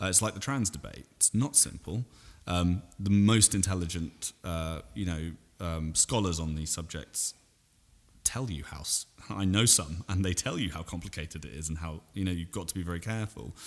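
A man with a very deep, low voice speaks in a southern English accent at a moderate pace. His pitch varies in an ordinary way on a very clean recording with a silent background. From England, Salisbury. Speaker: podcast guest. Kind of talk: casual chat.

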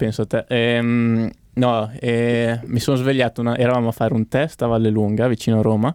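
A man talks at a fairly quick pace and medium pitch, monotone and flat, with very even loudness. The sound is dry and close with no echo, on a very clean recording with a silent background. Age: 20s. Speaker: racing driver. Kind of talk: casual chat.

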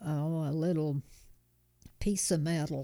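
A woman with an American accent speaks at a very slow pace, her pitch fairly low. Her dark, mellow, warm, relaxed tone stays monotone and flat. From Kansas, US. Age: 90s. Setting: home kitchen, recorded in person. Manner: warm, chuckling, relaxed.

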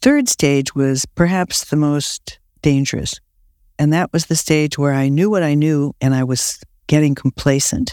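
With an American accent and a normal speaking voice, a man talks at a fairly slow pace with fairly even intonation. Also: fairly high pitch for a man. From Ohio, US Midwest. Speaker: trial lawyer. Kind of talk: interview.

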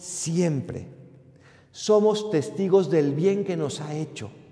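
A high-pitched male voice amid noticeable background noise and audible room echo. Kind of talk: sermon.

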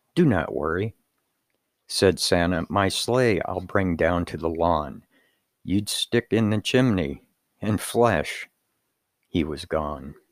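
Very deep and low in pitch, a man speaks at a very slow pace with long, frequent pauses, in a warm, playful tone with lively intonation. The recording is very clean with a silent background, and the sound is dry and close with no echo. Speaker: podcast host reading a poem aloud. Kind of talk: poem read aloud as a bedtime-style storytelling performance. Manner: warm, sing-song storyteller cadence with playful rhythm.

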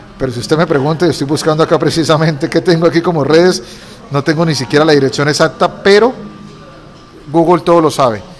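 A man talks at a fairly quick pace with a fairly high pitch and ordinary pitch variation. Noticeable background noise sits under his voice. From Colombia, Cúcuta. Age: 40s. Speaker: lawyer and entrepreneur. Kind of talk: interview.

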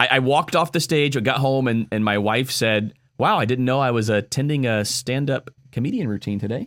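Fairly quick and at medium pitch, a man speaks in an unremarkable speaking voice with ordinary pitch variation on a very clean recording with a silent background. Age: 30s. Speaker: pastor. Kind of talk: casual chat.

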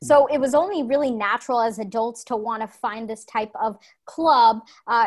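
On a very clean recording with a silent background, a woman talks at a moderate pace with a high pitch and ordinary pitch variation. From Atlanta, Georgia (Chamblee/Brookhaven). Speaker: startup founder. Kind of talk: interview. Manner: animated.

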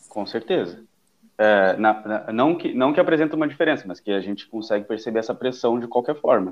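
A man's medium-pitched voice with lively intonation at a fairly quick pace. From southern Brazil (Pelotas, Rio Grande do Sul). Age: 30s. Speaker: podcast guest. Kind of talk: casual chat. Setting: remote call from home. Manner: halting.

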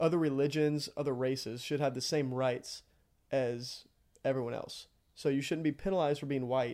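Recorded very cleanly against a silent background, a man with a Texan accent speaks at a moderate pace in a dark, mellow tone, his pitch fairly high and his intonation fairly even. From Texas, near College Station. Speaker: seminary student. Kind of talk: casual interview.

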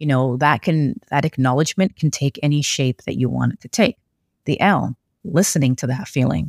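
This woman's voice sits very deep and low, with vocal fry and lively intonation. She talks at a moderate pace, and the sound is dry and close with no echo. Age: 40s. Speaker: podcast host and writing coach. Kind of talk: solo podcast talk. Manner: conversational.

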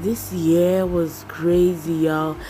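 A woman speaks very slowly in a very deep, low voice with fairly even intonation. Background noise is noticeable. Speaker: podcast host. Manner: candid, casual, emotional.

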